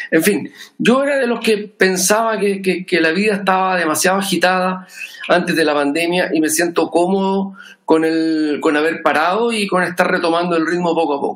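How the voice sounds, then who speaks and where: Speaking at a moderate pace, a man with a high pitch uses ordinary pitch variation. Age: 50s. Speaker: musician. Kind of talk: casual chat. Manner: calm and measured.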